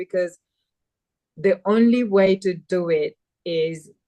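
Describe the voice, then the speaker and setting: With a Nepali accent, a woman speaks at a medium pitch with ordinary pitch variation, the sound dry and close with no echo. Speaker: community mentor. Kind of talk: webinar conversation.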